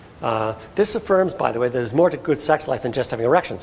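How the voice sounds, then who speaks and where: Very fast delivery with lively intonation. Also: man. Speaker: professor giving a health talk. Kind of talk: public lecture to patients and partners. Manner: animated, can speed up when excited.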